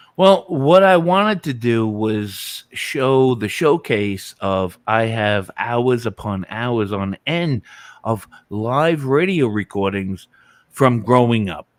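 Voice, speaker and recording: In a very clean recording with a silent background, a man with a New York accent speaks very slowly at a medium pitch, with lively intonation. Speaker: music YouTuber. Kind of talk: casual live-stream chat.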